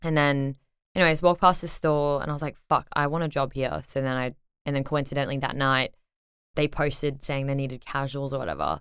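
With an Australian accent, a woman speaks at a fairly quick pace in a very deep, low voice with monotone, flat intonation. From Brisbane, Australia. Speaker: DJ. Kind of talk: casual interview chat.

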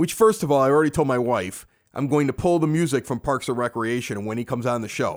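In a Chicago accent, a man talks at a very fast pace. His pitch is medium and his intonation lively. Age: 40s. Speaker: podcast host. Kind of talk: casual chat. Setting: basement bar. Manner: animated.

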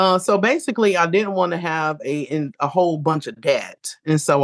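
With an American accent, a woman has an unremarkable speaking voice at a fairly low pitch. She talks at a fairly quick pace with lively intonation. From Ohio. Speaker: Navy veteran, reentry case manager. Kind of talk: casual interview.

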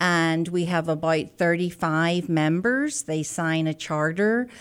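A woman with an American accent speaks at a fairly slow pace, her fairly low pitch showing ordinary variation. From Northern Ireland, Belfast. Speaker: manufacturing workforce expert. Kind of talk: interview.

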